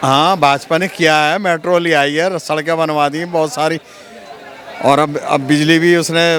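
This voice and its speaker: A man speaks at a fairly high pitch with monotone, flat intonation. Crowd noise fills the background. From Delhi. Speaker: passerby interviewee. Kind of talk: vox pop street interview.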